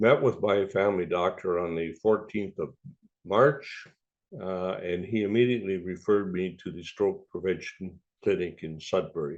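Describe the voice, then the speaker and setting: A man with a Canadian accent speaks at a very deep, low pitch with ordinary pitch variation. His loudness swings widely. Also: moderate pace. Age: 80s+. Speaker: stroke survivor. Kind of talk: testimony. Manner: halting, many fillers.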